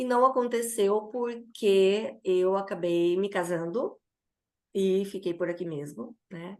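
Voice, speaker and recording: A woman speaks at a very slow pace. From Brazil, Cuiabá (Mato Grosso). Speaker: former professor and mentor. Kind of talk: interview. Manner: halting.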